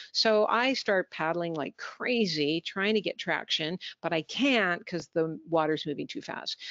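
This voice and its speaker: An unremarkable speaking voice moves at a fairly slow pace with hardly any pauses and lively intonation. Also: woman, fairly low pitch for a woman. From Canada. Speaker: business communication trainer. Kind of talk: webinar presentation.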